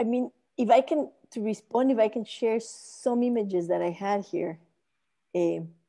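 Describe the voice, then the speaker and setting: Her tone is dark and mellow, her intonation lively. This woman moves at a moderate pace, with long, frequent pauses. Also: fairly high pitch for a woman. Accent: Spanish. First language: Spanish. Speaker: architect and urbanism researcher. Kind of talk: academic lecture. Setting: video call.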